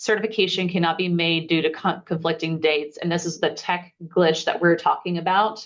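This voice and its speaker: Speaking at a fairly quick pace with hardly any pauses, a woman uses a fairly low pitch and fairly even intonation. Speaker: eligibility webinar presenter. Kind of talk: webinar Q&A. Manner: fast.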